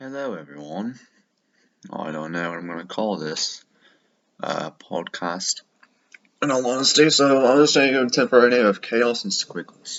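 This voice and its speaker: At a moderate pace, a medium-pitched man speaks with very wide pitch swings, big swings in loudness, and long, frequent pauses. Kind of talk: unscripted podcast talk. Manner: rambling, casual.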